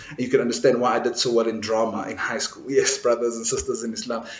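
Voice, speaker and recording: A man talks at a very fast pace, with audible room echo around his voice. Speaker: imam giving Friday lecture. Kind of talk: sermon. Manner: loud; animated.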